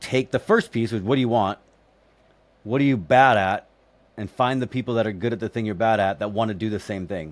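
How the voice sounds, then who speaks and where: A man with a plain, everyday voice speaks at a medium pitch and a fairly quick pace, with ordinary pitch variation. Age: 40s. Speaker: real estate investor and mentor. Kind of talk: casual chat.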